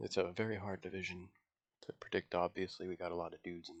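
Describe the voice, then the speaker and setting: A quiet man at a fairly quick pace, with a dry, close sound and no echo. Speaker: MMA fan YouTuber. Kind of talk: casual talk to camera. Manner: hesitant, many fillers.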